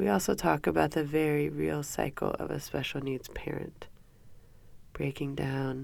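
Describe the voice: Nasal, with vocal fry and a slightly mellow tone, a woman speaks fairly slowly at a low pitch with little pitch movement.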